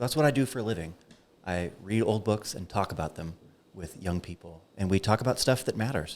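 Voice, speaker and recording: A fairly low-pitched man at a fairly quick pace, with lively intonation. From United States. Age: 40s. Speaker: philosophy professor. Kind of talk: podcast interview. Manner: passionate.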